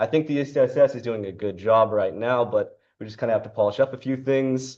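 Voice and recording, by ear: A fairly quick, slightly mellow delivery in a Canadian accent, with fairly even intonation. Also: man.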